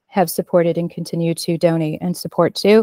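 A woman's dark, mellow voice, fairly low in pitch and flat in monotone, with a dry, close sound and no echo. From Alaska Native (Athabascan). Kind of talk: prayer invocation. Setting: video call.

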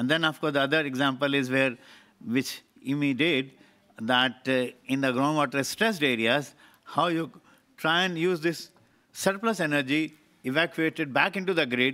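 Over a quiet background, a man speaks at a moderate pace with long, frequent pauses. His fairly high pitch has ordinary variation and a bright, sharp tone. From India. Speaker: water research institute representative; speaker. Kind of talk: panel discussion. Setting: conference stage with audience. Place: hall. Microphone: podium.

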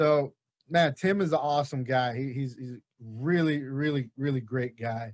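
With a quiet background behind him, a man speaks with ordinary pitch variation. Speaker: podcast host. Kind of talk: casual interview chat. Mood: jovial, laughing. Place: studio. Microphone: studio mic.

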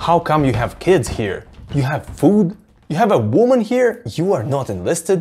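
Over music in the background, a man talks at a moderate pace with very wide pitch swings. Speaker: book channel host. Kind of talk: commentary. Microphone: lapel.

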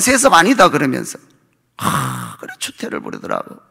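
A man is speaking. The background is quiet. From South Korea. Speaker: pastor. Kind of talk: sermon. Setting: church. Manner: animated. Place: church. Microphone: podium.

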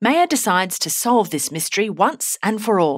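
Lively intonation comes through as the text is read aloud in a natural voice.

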